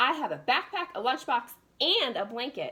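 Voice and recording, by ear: Doing a put-on character voice at a moderate pace, a woman speaks high-pitched in a bright, sharp tone with a slightly husky edge and big pitch swings.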